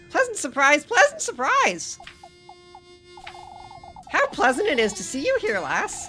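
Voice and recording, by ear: A croaky put-on character voice at an extremely high pitch, at a moderate pace, with faint music in the background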